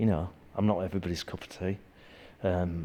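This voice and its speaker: At a fairly quick pace, a man talks with a Yorkshire accent. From Yorkshire, northern England. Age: 60s. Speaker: martial arts instructor. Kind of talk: interview. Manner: halting.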